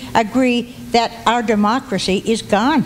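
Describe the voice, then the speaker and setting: A woman's fairly high voice, fairly even in intonation, over noticeable background noise. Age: 80s+. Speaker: audience member, senior citizen. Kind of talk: public comment at meeting. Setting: public meeting hall with audience.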